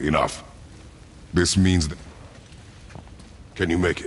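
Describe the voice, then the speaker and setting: A man puts on a character voice pitched very deep and low. Background noise is clearly audible. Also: moderate pace. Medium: video game. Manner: terse, gruff.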